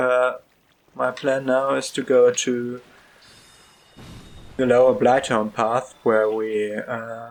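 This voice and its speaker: A man with a non-native accent talks at a very slow pace in a medium pitch, his intonation monotone and flat, with long, frequent pauses. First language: not English. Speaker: gaming video creator. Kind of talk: let's play commentary. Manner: halting, many fillers.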